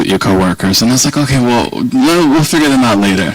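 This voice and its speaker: Very fast speech in an American accent over noticeable background noise. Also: man. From Virginia, US South. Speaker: policy organization director, guest speaker. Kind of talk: speech to an audience. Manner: conversational, rambling.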